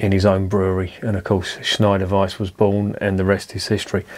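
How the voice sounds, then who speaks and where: The male voice sits at a fairly low pitch. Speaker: beer reviewer. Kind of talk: casual vlog chat. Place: home room.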